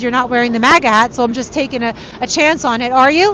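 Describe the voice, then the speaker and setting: A woman with a New York accent talks at a very fast pace and a high pitch. Her pitch varies in an ordinary way, with noticeable background noise behind her. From New York City, Queens. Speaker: street reporter. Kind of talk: live street reporting. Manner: casual, conversational.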